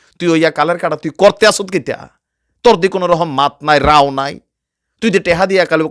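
A man speaks with a Cumilla accent and ordinary pitch variation. The recording is very clean, with a silent background. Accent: Cumilla regional Bengali dialect. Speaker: news commentary YouTuber. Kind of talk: news commentary in regional dialect.

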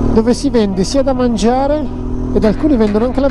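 A woman speaks with ordinary pitch variation. The sound is dry with no echo, and music plays clearly in the background. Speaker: motorcycle travel vlogger. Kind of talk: casual vlog chat. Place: motorbike. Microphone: helmet.

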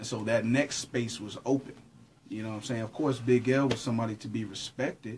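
Against light background noise, a man talks at a fairly quick pace in a somewhat breathy voice with monotone, flat intonation. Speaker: hip hop commentator. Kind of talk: casual chat. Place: home room. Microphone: phone near.

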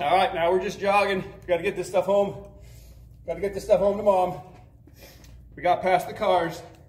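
A man talks at a fairly quick pace in a monotone, flat delivery. Audible room echo surrounds his voice. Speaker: teacher leading a kids' exercise session. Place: hall. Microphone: camera far.

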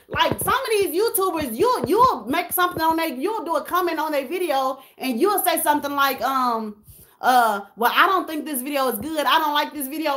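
A woman's high-pitched, bright, sharp voice, animated and with lively intonation, over noticeable background noise. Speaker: YouTuber hosting a livestream; YouTuber. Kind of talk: casual livestream chat with viewers. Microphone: phone near.

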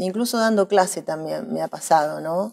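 Fairly low female voice against a quiet background. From Saladillo, Buenos Aires province, Argentina; Buenos Aires province, Argentina. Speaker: actress; interviewee. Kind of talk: interview; interview answer. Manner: hesitant, many fillers. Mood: relaxed, reflective.

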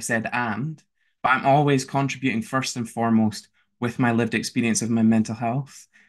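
A man at a fairly quick pace, with ordinary pitch variation and a quiet background. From Scotland and Canada. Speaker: peer support leader; webinar host. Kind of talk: speech. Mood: warm, enthusiastic. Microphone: webcam.

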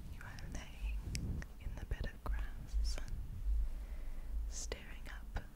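Here a woman is talking. She goes at a very slow pace. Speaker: ASMR creator. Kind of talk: ASMR whisper for sleep. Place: home room. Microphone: studio mic.

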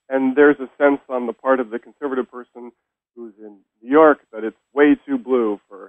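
A man with an American accent talks in a plain, everyday voice at a medium pitch and moderate pace, his intonation fairly even but his loudness swinging widely. The sound is dry with no echo, over a quiet background. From Sacramento, California; California. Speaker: professor and poet; professor, poet. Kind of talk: interview.

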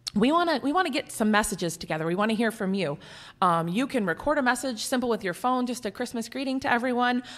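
The speech comes at a very fast pace over a quiet background. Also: woman. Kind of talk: church announcements. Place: church. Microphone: handheld.

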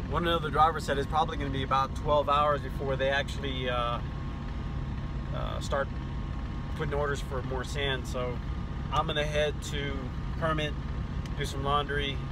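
Loud background noise accompanies a man's dry sound with no echo. He leaves long, frequent pauses. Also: moderate pace. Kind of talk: casual vlog chat. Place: car. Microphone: phone near.

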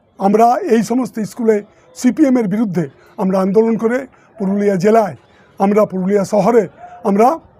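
A man speaks in a high pitch with fairly even intonation. Noticeable background noise is present. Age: 60s. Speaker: politician. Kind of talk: political statement. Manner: formal.

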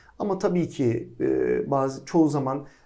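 Lively intonation marks this man's dark, mellow tone at a medium pitch. Audible room echo surrounds the voice. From Izmir, Turkey. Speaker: pediatric orthopedic surgeon, professor. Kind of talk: casual interview.

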